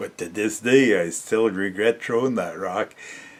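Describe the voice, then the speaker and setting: Speaking fairly slowly, a man talks with an Ontario accent. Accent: Canadian (Ontario). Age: 60s. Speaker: storyteller vlogger. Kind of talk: casual storytelling. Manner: halting, many fillers.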